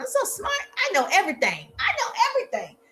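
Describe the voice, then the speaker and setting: Squeaky and extremely high, a woman's put-on character voice races at a very fast pace with lively intonation. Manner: sarcastic, mocking.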